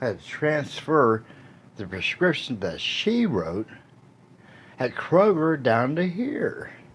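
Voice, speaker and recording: A man speaks at a very slow pace with very wide pitch swings. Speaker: video blogger. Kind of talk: casual monologue. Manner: halting.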